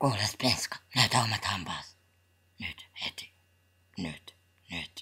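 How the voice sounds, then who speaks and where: A cartoonish character voice, whispered. It comes with long, frequent pauses. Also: man. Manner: formal, curt.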